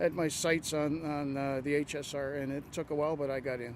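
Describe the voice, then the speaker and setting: A man at a moderate pace with a normal speaking voice. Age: 60s. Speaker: bus driver. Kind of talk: interview.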